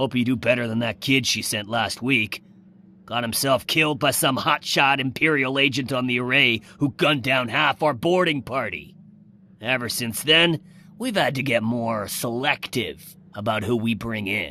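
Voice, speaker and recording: Using a put-on character voice, a man holds a medium pitch. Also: moderate pace. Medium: video game. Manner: blunt, brisk.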